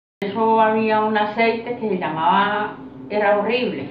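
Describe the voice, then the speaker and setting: A woman with a fairly high pitch talks amid audible room echo and noticeable background noise. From Colombia, Santander. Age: 60s. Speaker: interviewee recalling rural childhood. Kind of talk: interview. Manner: hesitant.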